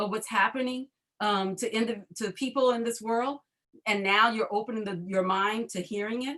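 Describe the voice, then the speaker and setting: A woman with a New Orleans accent speaks at a moderate pace, fairly high in pitch, with ordinary pitch variation. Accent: New Orleans Southern US. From US South, New Orleans. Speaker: panel discussion host. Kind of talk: panel discussion.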